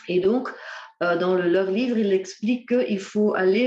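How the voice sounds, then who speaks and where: In a room with audible echo, a woman talks at a fairly slow pace at a medium pitch, with ordinary pitch variation. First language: Dutch (speaking French). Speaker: ecotherapy speaker. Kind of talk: lecture. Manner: halting, many hesitations.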